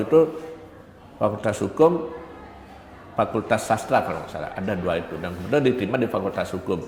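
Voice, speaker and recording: Over noticeable background noise, a man talks very fast. His intonation is lively. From Bali, Pupuan, Tabanan. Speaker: university lecturer. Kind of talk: interview.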